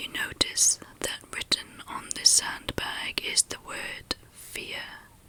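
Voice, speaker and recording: Very slow whispering over noticeable background noise. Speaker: ASMR meditation guide. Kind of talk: guided meditation. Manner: whispered, soft-spoken, slow.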